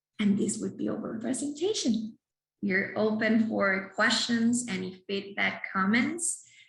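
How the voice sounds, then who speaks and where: A woman with a Spanish accent talks at a fairly slow pace in a fairly high pitch with vocal fry. Room echo is audible. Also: ordinary pitch variation. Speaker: clinical psychologist. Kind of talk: lecture. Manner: halting.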